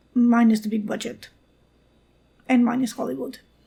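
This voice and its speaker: The speaker has a non-native accent and uses ordinary pitch variation. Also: woman. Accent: non-native, noted. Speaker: amateur storyteller. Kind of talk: read original story.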